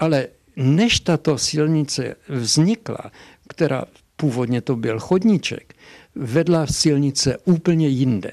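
Lively intonation marks this man's fairly high voice. He speaks very slowly over a quiet background. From Hošťálkovice, Silesia, Czech Republic. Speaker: dialectologist and professor. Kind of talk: interview answer. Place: office. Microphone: handheld.

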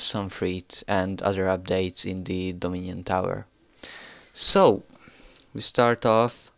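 Speaking at a very slow pace with a non-native accent, the voice breaks often into long pauses. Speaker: gaming video host. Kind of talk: game update commentary.

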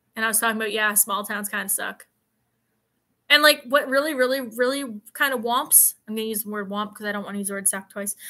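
A woman at a fast pace, fairly high in pitch, with a bright, sharp tone and ordinary pitch variation

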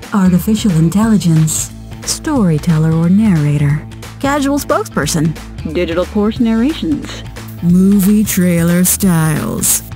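Woman with an American accent, fairly low pitch, lively intonation, fairly slow pace and very even loudness, music in the background. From California, USA. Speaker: voice actor. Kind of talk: casual talk to camera.

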